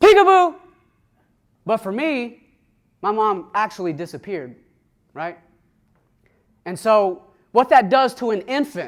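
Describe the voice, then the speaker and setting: On a very clean recording with a silent background, a man with a Southern US accent talks at a moderate pace in a high voice. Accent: Southern US twang. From US South, Atlanta, Georgia. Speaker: recovered addict sharing his story. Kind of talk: testimony talk to an audience. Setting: room with an audience.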